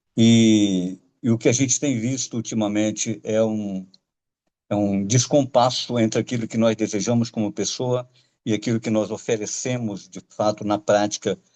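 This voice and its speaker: A man talks with fairly even intonation in a dark, mellow tone. The sound is dry and close with no echo, over a quiet background. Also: medium pitch for a man, moderate pace. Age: 70s. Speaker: lecturer. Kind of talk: lecture. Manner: halting, with many filler hesitations.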